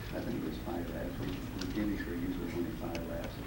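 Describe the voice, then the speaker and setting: Fairly quick speech from a man, with noticeable background noise and room echo that can be heard. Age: 70s. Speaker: retired car salesman, racing club member. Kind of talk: reunion speech. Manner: informal.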